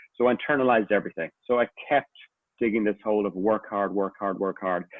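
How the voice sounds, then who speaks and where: Very fast and with fairly even intonation, a man talks in a strong Irish accent. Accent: Irish, a little stronger than usual. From Ireland. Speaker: executive coach. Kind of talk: online talk / testimony.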